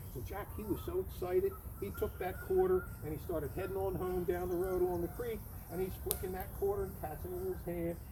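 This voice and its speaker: Talking at a fairly quick pace, a man is heard against noticeable background noise. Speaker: environmental center campfire storyteller. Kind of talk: campfire storytelling. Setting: outdoors.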